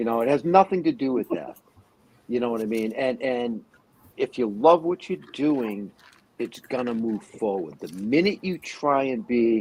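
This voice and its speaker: At a moderate pace, an unremarkable speaking voice moves with lively intonation. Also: man, medium pitch for a man. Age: 60s. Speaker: podcast co-host and furniture maker. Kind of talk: casual chat.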